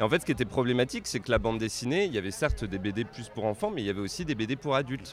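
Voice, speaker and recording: A man talks very fast with hardly any pauses, using a medium pitch and lively intonation. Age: 30s. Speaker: comics scholar. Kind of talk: interview. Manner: halting.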